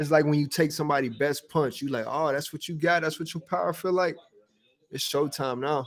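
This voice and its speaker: This man's voice sits at a fairly high pitch, moving at a fairly quick pace with fairly even intonation. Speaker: boxer and streamer. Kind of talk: casual livestream chat. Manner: soft-spoken.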